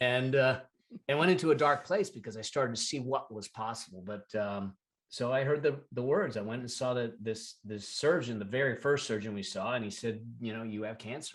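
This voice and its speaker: An ordinary speaking voice moves at a fairly quick pace with ordinary pitch variation. The background is quiet. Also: man, medium pitch for a man. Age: 60s. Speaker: entrepreneur and financial expert, podcast guest. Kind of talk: interview, personal testimony.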